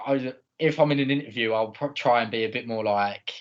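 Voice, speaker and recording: A man with an Essex accent. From Essex, England. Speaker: podcast co-host. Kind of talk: casual chat.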